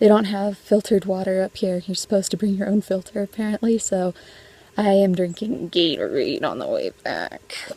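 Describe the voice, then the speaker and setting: Recorded with a dry, close sound and no echo but noticeable background noise, a woman of medium pitch talks at a moderate pace. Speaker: travel vlogger. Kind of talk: casual vlog narration while hiking. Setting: outdoors on a mountain trail.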